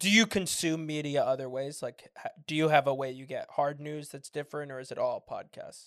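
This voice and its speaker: A man's fairly quick, fairly high voice with fairly even intonation and hardly any pauses, an unremarkable speaking voice. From US West Coast, San Francisco. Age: 20s. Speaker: podcast host. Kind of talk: casual interview.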